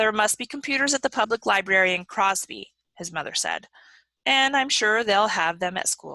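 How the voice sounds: It is a natural reading voice over a quiet background.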